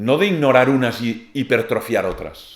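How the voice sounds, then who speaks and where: Audible room echo follows a man speaking with a Catalan accent. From Catalonia, Spain. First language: Catalan (speaking Spanish). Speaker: philosopher and lecturer. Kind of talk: lecture.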